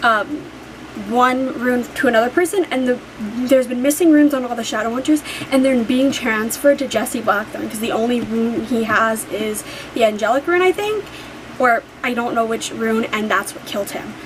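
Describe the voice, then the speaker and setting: Over noticeable background noise, a woman speaks high in pitch with an animated tone and ordinary pitch variation. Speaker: book vlogger. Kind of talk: casual vlog talk. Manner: fast.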